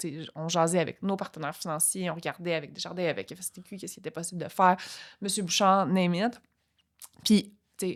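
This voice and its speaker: On a very clean recording with a silent background, a woman speaks fairly quickly in a fairly low voice with fairly even intonation. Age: 40s. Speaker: entrepreneur. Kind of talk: podcast interview. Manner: halting, many fillers.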